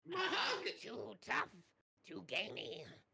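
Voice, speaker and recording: A raspy, put-on character voice. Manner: creature voice.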